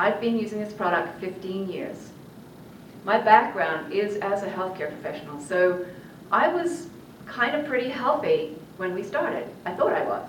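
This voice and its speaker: A woman at a medium pitch and moderate pace, with very wide pitch swings, audible room echo and noticeable background noise. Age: 60s. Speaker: network marketing presenter. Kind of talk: sales pitch. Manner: enthusiastic.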